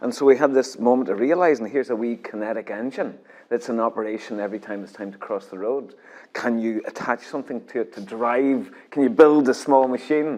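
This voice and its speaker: With a Scottish accent, a man speaks at a fairly quick pace and a medium pitch, with ordinary pitch variation. His loudness swings a lot. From Northern Ireland, Omagh. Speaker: sculptor, artist in residence. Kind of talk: interview.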